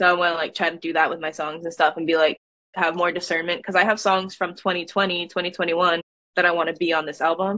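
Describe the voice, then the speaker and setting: A woman with an American accent and a fairly low, bright, sharp voice, speaking very fast in a monotone, flat way against a quiet background. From Massachusetts, Boston suburbs. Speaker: singer-songwriter; guest. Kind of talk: casual interview. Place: home room. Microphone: video call.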